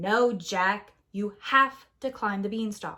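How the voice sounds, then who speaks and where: A woman at a very slow pace and medium pitch. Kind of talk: bedtime story. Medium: read story.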